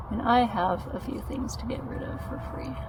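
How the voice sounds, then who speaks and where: A soft-spoken woman talks in a relaxed, gentle tone over noticeable background noise. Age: 40s. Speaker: YouTuber. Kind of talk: casual talk to camera, ASMR-style vlog. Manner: soft-spoken, relaxed, gentle.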